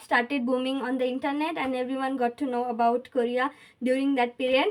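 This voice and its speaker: A woman speaks with a high pitch. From India, Maharashtra (Aurangabad). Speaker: university student vlogger. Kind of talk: personal vlog story. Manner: hesitant, many fillers.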